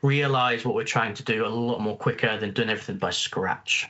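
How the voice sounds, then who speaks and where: The pace is fairly quick. The man's pitch sits at a medium level. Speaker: tech conference presenter. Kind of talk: technical presentation. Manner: fast.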